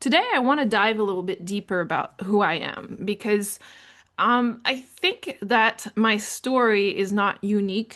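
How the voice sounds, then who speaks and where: Speaking at a fairly slow pace, a woman with a fairly high pitch talks in a French Canadian accent. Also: ordinary pitch variation. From Canada, francophone New Brunswick. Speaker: podcast host on leadership. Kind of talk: personal storytelling monologue.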